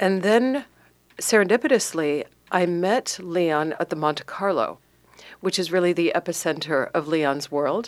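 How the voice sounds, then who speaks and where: A woman speaks at a fairly slow pace, fairly low in pitch, with lively intonation. The recording is very clean with a silent background. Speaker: publicist. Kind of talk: interview. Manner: enthusiastic.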